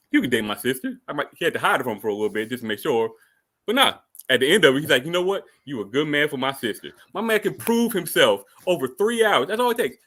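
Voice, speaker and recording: Fairly high male voice at a very fast pace with very wide pitch swings, on a very clean recording with a silent background. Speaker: podcast guest advocate. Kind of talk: debate argument. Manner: animated.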